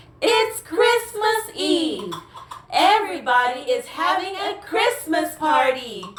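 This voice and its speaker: A put-on character voice at an extremely high pitch, fairly slow pace and slight echo. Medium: audio drama. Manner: excited, chattering.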